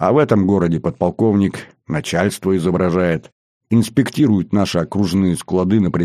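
With a quiet background behind it, the clip carries a natural reading voice.

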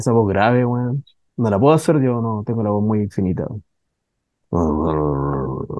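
At a fairly slow pace, a man speaks with fairly low pitch, a dark, mellow tone and ordinary pitch variation.

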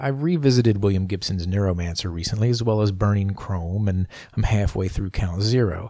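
Speaking fairly quickly, a man with an unremarkable speaking voice keeps a fairly low pitch and ordinary pitch variation. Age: 40s. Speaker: podcast host. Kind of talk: scripted narration. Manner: formal.

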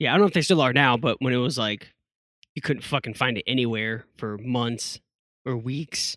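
A man's unremarkable speaking voice at a medium pitch, with ordinary pitch variation, a moderate pace, and a dry, close sound with no echo. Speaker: podcast co-host. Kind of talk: casual chat. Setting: remote recording over the internet. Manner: crude joking.

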